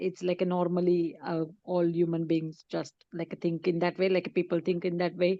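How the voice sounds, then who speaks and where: A woman talks at a moderate pace in a Marathi accent. Her pitch is fairly low. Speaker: book club member. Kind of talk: group discussion.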